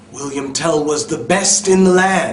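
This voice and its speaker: Lively intonation and an American accent mark this very slow delivery. Noticeable background noise is present. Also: man. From New York City. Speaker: EFL instructor. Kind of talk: read story for English learners. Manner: slow, clear, with simple explanations.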